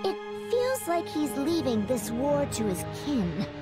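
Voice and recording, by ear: A woman performs a put-on character voice at a high pitch with very wide pitch swings. She goes at a fairly slow pace over clear music in the background.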